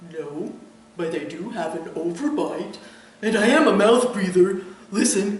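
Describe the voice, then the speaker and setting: Putting on a character voice, a man speaks high-pitched at a moderate pace with long, frequent pauses and a clear echo. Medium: read story. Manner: polite, mild.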